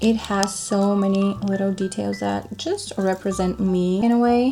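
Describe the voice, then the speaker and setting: Music plays in the background as a woman of medium pitch speaks at a fairly slow pace. Her tone is relaxed, her intonation fairly even. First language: Bulgarian. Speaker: lifestyle vlogger. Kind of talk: casual show-and-tell vlog. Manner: relaxed, chatty.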